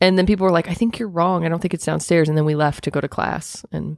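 A woman speaks at a very fast pace with a slight Southern accent, her pitch very deep and low with ordinary pitch variation. The sound is dry and close with no echo, a very clean recording with a silent background. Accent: slight southern twang. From US Midwest (Indiana). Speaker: podcast co-host. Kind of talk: casual chat.

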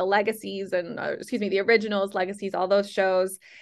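With a quiet background, a woman speaks at a medium pitch in an American accent. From Chicago. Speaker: novelist and screenwriter. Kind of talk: interview. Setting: phone call. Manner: animated.

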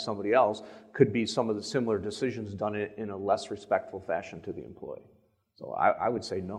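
Talking at a fairly quick pace, a man with a fairly low pitch has a plain, everyday voice. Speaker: company executive. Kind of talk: panel discussion.

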